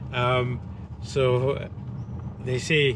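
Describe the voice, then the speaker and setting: Over noticeable background noise, a man talks in a monotone, flat intonation. The sound is dry, with no echo. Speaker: travel vlogger. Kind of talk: casual vlog chat. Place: car. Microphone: phone near.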